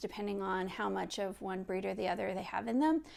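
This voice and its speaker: A relaxed Midwestern accent at a moderate pace, on a very clean recording with a silent background. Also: woman. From US Midwest. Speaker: knitting podcaster and designer. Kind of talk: casual video podcast. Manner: relaxed, unscripted with many fillers.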